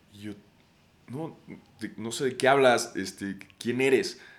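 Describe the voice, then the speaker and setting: With a bright, sharp tone and lively intonation, a man speaks in an animated way at a fairly slow pace. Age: 30s. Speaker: podcast host. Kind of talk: casual monologue.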